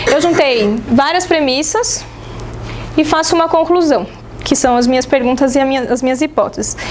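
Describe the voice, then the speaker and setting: With lively intonation and very even loudness, a woman speaks in a high voice amid audible room echo and noticeable background noise. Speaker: teacher. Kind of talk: lecture. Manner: fast.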